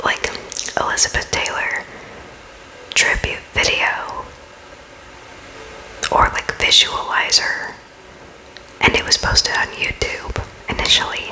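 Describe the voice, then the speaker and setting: A whisper moves at a fairly slow pace, broken by long, frequent pauses, over noticeable background noise. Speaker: ASMR content creator. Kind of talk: ASMR close-up whisper ramble; casual talk to camera. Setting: close-up new microphone, home recording. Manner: whispered, casual, rambling.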